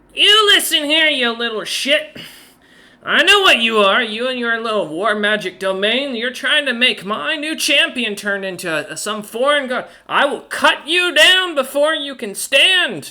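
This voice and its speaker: Cackling in a put-on character voice, a man projects a raised voice at an extremely high pitch, swinging very widely in pitch at a moderate pace. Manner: cackling, menacing.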